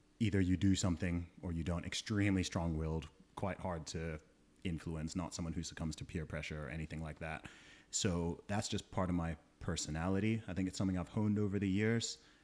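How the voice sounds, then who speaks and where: A man's very deep, low voice at a fairly quick pace, with fairly even intonation and a quiet background. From Saudi Arabia, Nigerian-British family. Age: 30s. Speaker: rapper and podcaster. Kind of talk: podcast interview.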